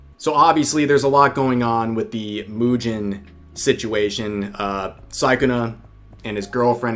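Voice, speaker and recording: A man at a fairly slow pace with ordinary pitch variation, music in the background. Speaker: vtuber commentary streamer. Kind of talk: live stream commentary. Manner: casual, filler-heavy.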